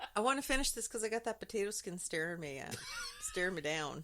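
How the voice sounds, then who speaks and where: With an animated, bright and sharp tone, a woman of medium pitch talks at a fairly quick pace with lively intonation. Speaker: podcast co-host. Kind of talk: casual chat.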